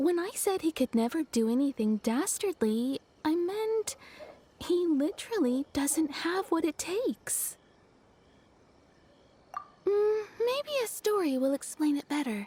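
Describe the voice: A woman uses a cartoonish character voice, high-pitched with big pitch swings. Her tone is dark and mellow, and her pace is slow.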